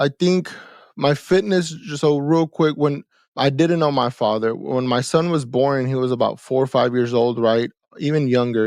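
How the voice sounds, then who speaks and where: A man with an American accent and an unremarkable speaking voice talks at a fairly quick pace with ordinary pitch variation, his sound dry and close with no echo against a quiet background. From Texas, Houston area. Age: 30s. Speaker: entrepreneur. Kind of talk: interview conversation. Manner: casual, repetitive fillers.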